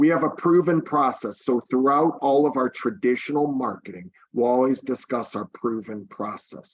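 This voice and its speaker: Speaking at a moderate pace with hardly any pauses, a man has a normal speaking voice, medium pitch and ordinary pitch variation. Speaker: real estate team leader. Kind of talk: webinar presentation.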